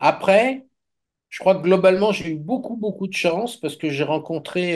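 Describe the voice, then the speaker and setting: This is a man talking. His intonation is lively. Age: 70s. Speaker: magician. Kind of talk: casual chat.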